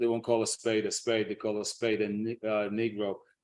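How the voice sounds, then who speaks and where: Heard on a very clean recording with a silent background, a man speaks in a Lancashire accent. His pitch is fairly low, his intonation monotone and flat, and his pace moderate. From northern England, Blackburn, Lancashire. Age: 60s. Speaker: teacher and speaker on African history. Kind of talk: interview. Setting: live stream.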